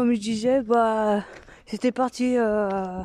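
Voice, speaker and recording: Speaking at a very slow pace, a woman has a fairly high pitch, a dark, mellow tone, and fairly even intonation. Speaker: vlogger. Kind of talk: casual vlog chat. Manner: loud; hesitant, many fillers.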